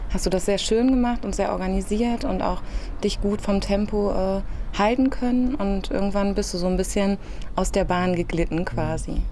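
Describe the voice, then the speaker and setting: A woman's voice moves at a moderate pace, its pitch varying in an ordinary way, with light noise in the background. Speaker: speech therapist. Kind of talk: therapy session instruction and feedback. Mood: calm, encouraging. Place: garden.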